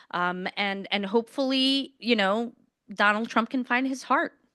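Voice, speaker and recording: Speaking with an American accent, a woman has a high pitch and a bright, sharp tone, with lively intonation at a moderate pace. The sound is dry and close with no echo, against a quiet background. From Queens, New York City. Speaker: politician, mayoral candidate. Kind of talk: candidate forum Q&A. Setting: stage with audience in a law school room.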